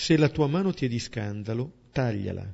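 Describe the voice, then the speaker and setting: A man's normal speaking voice, medium in pitch, at a fairly slow pace. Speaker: priest leading a Bible study. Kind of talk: Bible commentary.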